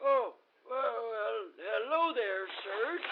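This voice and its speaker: A man uses a put-on character voice pitched extremely high. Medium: audio drama.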